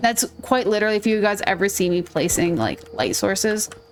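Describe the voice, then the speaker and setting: Music plays in the background as a woman speaks. Her pitch is medium, with ordinary variation. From Minnesota, US. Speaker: gaming streamer. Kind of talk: gameplay commentary. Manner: animated.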